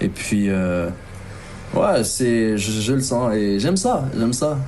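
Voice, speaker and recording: Amid noticeable background noise and audible room echo, a man talks in an animated tone. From Ivory Coast (Abidjan), then Normandy, France as a teen. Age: 30s. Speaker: rapper. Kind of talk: interview. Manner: casual, slangy, animated.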